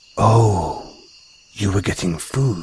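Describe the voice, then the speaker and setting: A man puts on a character voice. It sits at a fairly low pitch. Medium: audio drama. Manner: affectionate, calls listener darling; refined, slightly condescending toward humans.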